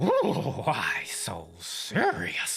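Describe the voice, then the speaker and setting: In a raspy, put-on character voice, a man performs his lines. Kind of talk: unfiltered, natural voice. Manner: menacing, taunting.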